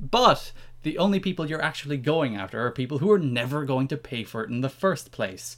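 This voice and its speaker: On a very clean recording with a silent background, a man talks in an Irish accent at a fairly quick pace. His voice is fairly high, with lively intonation. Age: 20s. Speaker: podcast co-host, wrestling writer. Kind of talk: casual chat.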